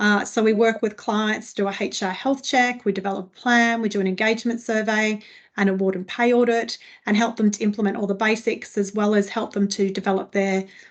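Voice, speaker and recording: A woman with an Australian accent, fairly high-pitched and fairly quick, with monotone, flat intonation against a quiet background. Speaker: HR consultant. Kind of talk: webinar presentation. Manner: fast.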